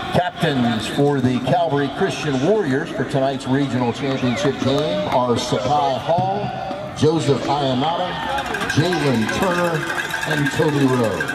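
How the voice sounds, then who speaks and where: Over loud background noise, a man speaks at a fairly slow pace with ordinary pitch variation. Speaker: stadium announcer. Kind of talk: public address announcement. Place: stadium.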